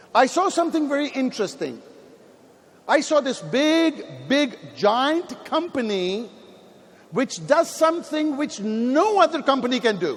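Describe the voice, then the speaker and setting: A man speaks in an extremely high voice at a fairly slow pace, with lively intonation and an animated tone. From Pakistan. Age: 50s. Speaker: network marketing leader. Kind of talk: motivational speech. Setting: stage with audience.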